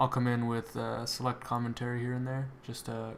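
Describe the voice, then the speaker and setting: Speaking at a moderate pace, the man has a medium-pitched voice and a monotone, flat intonation. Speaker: YouTuber working on a constructed language. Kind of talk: casual voiceover commentary on screen recording. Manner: hesitant, many fillers.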